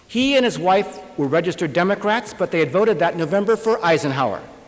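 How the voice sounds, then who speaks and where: With an American accent and lively intonation, a man speaks at a moderate pace over noticeable background noise. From Lakewood, California. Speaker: writer. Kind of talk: memoir reading.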